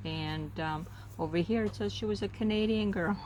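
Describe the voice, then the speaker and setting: The speaker is a woman. Audible room echo is present in the recording. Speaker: crafting video creator. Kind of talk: casual relaxed crafting narration. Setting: outdoors. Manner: slow; relaxed, hesitant with fillers.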